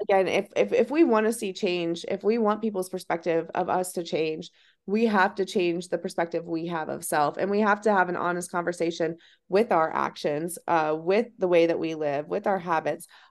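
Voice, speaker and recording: Over a quiet background, a woman with an American accent uses a plain, everyday voice, fairly low in pitch, with fairly even intonation at a moderate pace. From Ohio. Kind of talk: interview.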